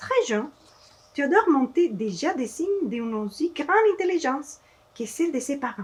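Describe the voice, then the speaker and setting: A woman with a Spanish accent and a high pitch speaks at a moderate pace, taking long, frequent pauses while her pitch swings very widely. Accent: Spanish-accented French, non-native. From Mexico. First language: Spanish (speaking French). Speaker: children's author and illustrator. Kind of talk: reading aloud to children. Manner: halting, with hesitations.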